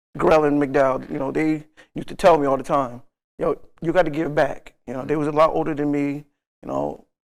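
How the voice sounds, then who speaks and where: A normal speaking voice with an American accent. The delivery is fairly quick, with fairly even intonation. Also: man, fairly high pitch for a man. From Stamford, Connecticut (born Augusta, Georgia). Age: 60s. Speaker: community basketball coach and Marine veteran. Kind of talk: casual interview. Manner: frequent fillers, conversational.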